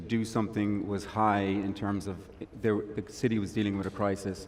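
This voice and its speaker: Moderate pace and monotone, flat intonation. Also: man. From Ireland. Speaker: tech investor and accelerator founder. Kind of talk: panel discussion. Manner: hesitant, many fillers and repeats.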